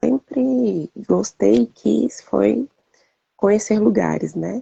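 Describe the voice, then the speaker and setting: A woman's voice, dry and close with no echo. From Brazil, Brasília. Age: 40s. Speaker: civil servant. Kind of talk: interview testimony.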